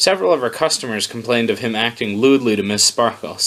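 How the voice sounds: The voice here reads in a natural way.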